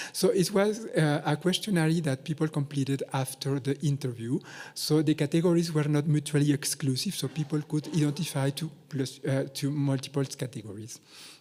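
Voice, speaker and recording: The voice has a dark, mellow tone and is somewhat breathy, moving at a moderate pace with ordinary pitch variation and hardly any pauses. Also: man, fairly high pitch for a man. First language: not English (English is third language). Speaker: researcher. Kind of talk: conference presentation. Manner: hesitant, many fillers.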